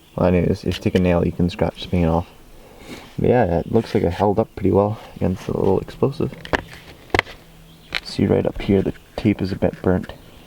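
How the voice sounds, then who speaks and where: Amid noticeable background noise, a man talks at a fairly quick pace with fairly even intonation, broken by long, frequent pauses. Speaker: hobbyist video maker. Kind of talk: tutorial-style demonstration. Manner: soft-spoken; halting.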